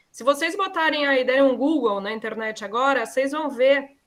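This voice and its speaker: With ordinary pitch variation, a woman talks in a high voice. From southern Brazil, Curitiba. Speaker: architect and set designer. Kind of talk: online class talk.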